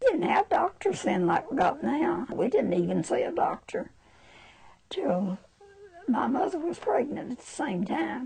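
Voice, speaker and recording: A woman with an American accent speaks fairly slowly in a high voice with very wide pitch swings, over noticeable background noise. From Alabama, US South. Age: 80s+. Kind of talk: interview answer.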